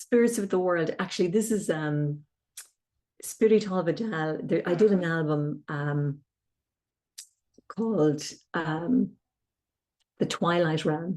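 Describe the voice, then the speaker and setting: A woman with an Irish accent speaks at a very slow pace, leaving long, frequent pauses. Her fairly low voice has a dark, mellow tone and ordinary pitch variation. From Ireland, County Tipperary. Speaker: harpist and singer-composer. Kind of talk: interview.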